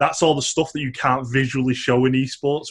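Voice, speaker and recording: Against a quiet background, a man at medium pitch talks fairly quickly with fairly even intonation. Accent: strong northern English. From northern England, Manchester. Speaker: esports professional and teacher. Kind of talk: casual interview chat.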